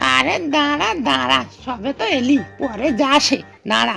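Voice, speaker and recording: A woman performs a cartoonish character voice at a high pitch. She talks at a fairly slow pace with clear music in the background. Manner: blunt, disapproving.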